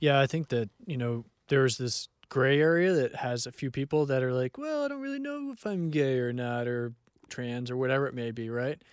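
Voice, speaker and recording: Speaking quickly, at a fairly quick pace, a man uses an ordinary speaking voice at medium pitch with fairly even intonation. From California. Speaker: counselor. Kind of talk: casual chat.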